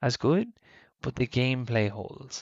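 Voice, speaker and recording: A man talks in an Irish accent. His pace is fairly slow and his intonation fairly even. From Ireland. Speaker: podcast co-host. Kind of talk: casual chat.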